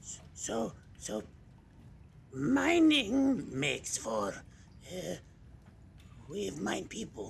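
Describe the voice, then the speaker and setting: Using a put-on character voice at medium pitch, a man speaks very slowly. He takes long, frequent pauses, and background noise is clearly heard. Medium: actual play. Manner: halting, broken grammar, dropped articles.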